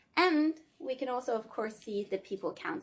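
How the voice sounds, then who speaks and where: With vocal fry and very wide pitch swings, a woman speaks in a Scandinavian accent at a moderate pace. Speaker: tech company product demonstrator. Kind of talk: live product demo. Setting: video call from a meeting room. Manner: casual, filler-heavy.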